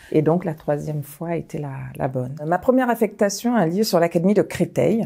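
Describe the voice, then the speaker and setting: Very deep, low pitch from a woman, a dark, mellow tone, a fairly slow pace, a quiet background. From Mali, then Paris suburbs from age 7. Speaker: high school principal; school head teacher recounting career. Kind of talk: personal testimony. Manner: hesitant, many filler pauses. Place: home room. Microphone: lapel.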